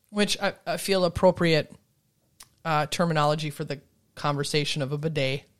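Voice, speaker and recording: On a very clean recording with a silent background, a woman with an American accent and a very deep, low voice speaks at a moderate pace with fairly even intonation and long, frequent pauses. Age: 40s. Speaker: podcast co-host. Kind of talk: casual chat.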